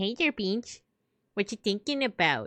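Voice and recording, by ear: A female-sounding put-on character voice has a playful tone and a medium pitch. It moves at a moderate pace.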